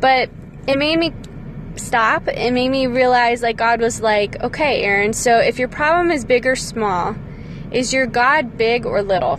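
Amid noticeable background noise, a woman with a high pitch speaks at a moderate pace with lively intonation. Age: 30s. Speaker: parent podcaster. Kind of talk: devotional monologue.

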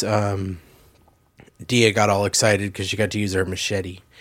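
At a moderate pace, a man with a fairly low pitch talks in an animated tone. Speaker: podcast host. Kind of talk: casual chat. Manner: joking, animated.

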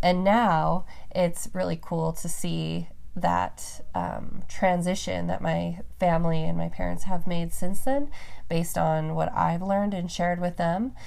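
There is audible room echo as a woman speaks in an American accent. Her pace is fairly slow. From Reno, Nevada, US West. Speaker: podcast host. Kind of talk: casual chat.

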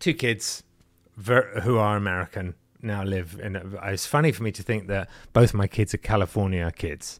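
A man with an English accent speaks at a moderate pace in a fairly low voice, recorded dry and close with no echo, very clean and against a silent background. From England. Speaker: film composer and online video creator. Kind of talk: casual chat.

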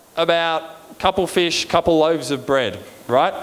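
A high-pitched man in an Australian accent at a moderate pace, ordinary pitch variation and noticeable background noise. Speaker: preacher. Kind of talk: sermon. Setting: church. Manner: informal, joking.

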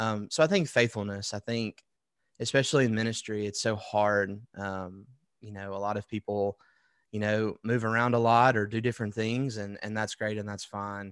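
On a very clean recording with a silent background, a man with an Alabama accent speaks at a fairly low pitch and a moderate pace with fairly even intonation. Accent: US Southern (Alabama). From Alabama (Wetumpka, near Montgomery). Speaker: worship pastor. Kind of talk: interview.

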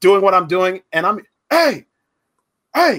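A man speaks in a high, bright, sharp voice that is raised and projected. His pitch swings very widely, and his pace is moderate. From Orlando, Florida (Pine Hills), Puerto Rican heritage. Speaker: podcast host and minister. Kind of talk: casual interview, live stream. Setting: live Facebook video interview. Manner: animated, laughs often.

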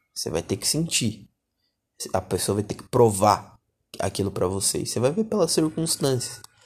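With long, frequent pauses, a somewhat breathy man speaks at a moderate pace and medium pitch, his voice showing very wide pitch swings on a very clean recording with a silent background. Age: 20s. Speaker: podcast host. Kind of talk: solo podcast monologue. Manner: casual slangy.

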